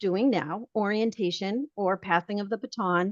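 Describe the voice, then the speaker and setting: A woman with a Boston accent speaks at a fairly slow pace, her fairly high pitch showing ordinary variation. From Boston, Massachusetts. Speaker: realtor association leader. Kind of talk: webinar training presentation. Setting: video call. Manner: conversational.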